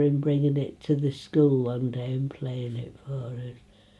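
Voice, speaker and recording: A woman with an East Midlands accent, dark and mellow in tone, at a moderate pace with monotone, flat intonation. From England, Retford, Nottinghamshire. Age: 80s+. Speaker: local elder reminiscing. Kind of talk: casual interview. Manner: halting.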